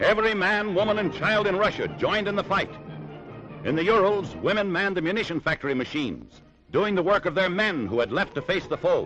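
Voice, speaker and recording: Music plays behind a man speaking at a fairly quick pace in a high voice. His tone is dramatic, and his pitch varies in an ordinary way. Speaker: newsreel commentator. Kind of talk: newsreel narration. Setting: 1940s archival recording. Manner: dramatic, rousing.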